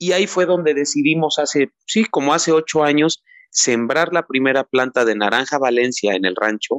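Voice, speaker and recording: A normal speaking voice from a man, fairly high-pitched, with lively intonation, very even loudness and a moderate pace, dry and close with no echo over a quiet background. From Mexico, Teziutlán, Puebla. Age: 30s. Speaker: citrus farmer and website co-founder. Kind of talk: interview.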